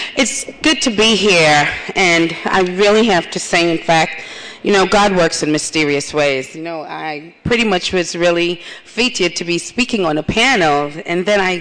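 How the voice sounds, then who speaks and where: At a moderate pace, a woman talks with ordinary pitch variation over noticeable background noise. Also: fairly low pitch for a woman. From Caribbean. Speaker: HIV advocate, keynote speaker. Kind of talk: keynote speech.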